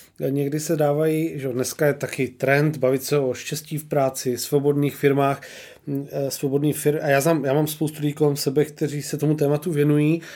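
Monotone, flat intonation marks this man's dark, mellow voice at a fairly high pitch. He speaks at a moderate pace on a very clean recording with a silent background. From Czechia, Olomouc. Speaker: podcast host. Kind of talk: interview.

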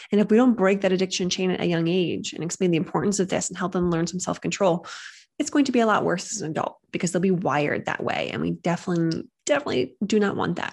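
Talking at a very fast pace, a woman with vocal fry uses lively intonation at a medium pitch. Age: 30s. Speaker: podcast host, parenting behavior specialist. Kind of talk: casual educational monologue. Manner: conversational.

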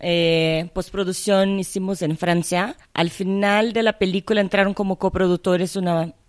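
With a Portuguese accent, a woman speaks at medium pitch and a fairly slow pace, with hardly any pauses and fairly even intonation, on a very clean recording with a silent background. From Brazil (Rio de Janeiro). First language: Portuguese (speaking Spanish). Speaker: cinematographer. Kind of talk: interview. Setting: at the guest's home.

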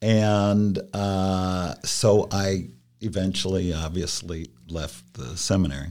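A man with an American accent and a very deep, low voice talks at a very slow pace with ordinary pitch variation. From Columbus, Ohio. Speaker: industry council staff member. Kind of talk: casual interview chat.

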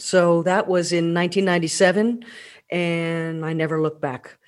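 A woman speaks with an American accent. The recording is very clean, and the background is silent. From Pennsylvania. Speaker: tour guide. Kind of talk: podcast monologue. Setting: alone at home.

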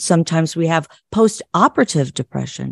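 A woman with an American accent speaks at a fairly low pitch. The background is quiet, and the sound is dry and close with no echo. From US Midwest. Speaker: psychologist and clinical social worker. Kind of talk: interview.

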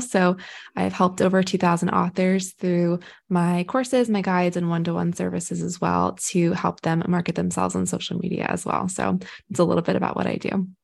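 The background stays quiet. A woman talks at a fairly quick pace. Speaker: poet and mental health writer. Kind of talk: casual interview chat.

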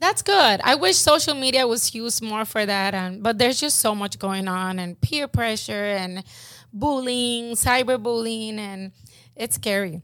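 A woman speaks in a plain, everyday voice with a fairly high pitch and ordinary pitch variation. She goes at a fairly slow pace on a very clean recording with a silent background. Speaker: podcast co-host. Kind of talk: casual chat.

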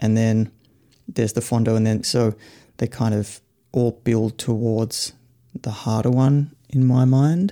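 Speaking with an Australian accent, a man uses a dark, mellow tone at a fairly slow pace, with long, frequent pauses and very even loudness. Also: medium pitch for a man, fairly even intonation. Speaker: cycling coach and author. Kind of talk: casual panel discussion. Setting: live online audio room.

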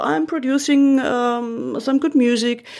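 A woman with a German accent at a fairly slow pace. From Germany, Munich. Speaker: radio journalist and podcast producer. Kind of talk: interview conversation. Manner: halting.

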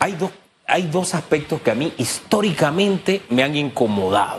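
Somewhat breathy man at a moderate pace, fairly high in pitch with lively intonation. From Panama, Chiriquí. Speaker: radio host. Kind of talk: radio interview.

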